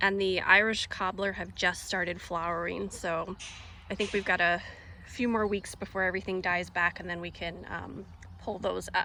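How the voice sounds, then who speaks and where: A medium-pitched woman's voice with vocal fry, a bright, sharp tone and monotone, flat intonation. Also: moderate pace. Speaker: home gardener. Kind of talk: casual garden tour vlog. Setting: outdoors. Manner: hesitant, many fillers.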